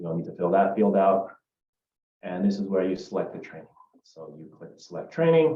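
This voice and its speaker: Long, frequent pauses break up a man's speech, which has very wide pitch swings and big swings in loudness. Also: fairly low pitch for a man, fairly quick pace. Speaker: software trainer. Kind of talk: screen-share tutorial. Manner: casual with filler words.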